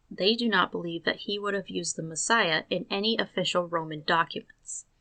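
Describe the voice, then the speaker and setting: Here is a woman with a plain, everyday voice at medium pitch. Her intonation is lively. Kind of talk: commentary narration.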